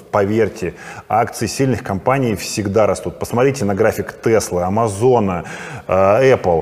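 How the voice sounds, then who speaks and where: A man with a fairly low pitch speaks at a fairly slow pace, his loudness very even and his pitch variation ordinary, over noticeable background noise. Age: 40s. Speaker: private investor and trader, channel host. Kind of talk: casual monologue to camera.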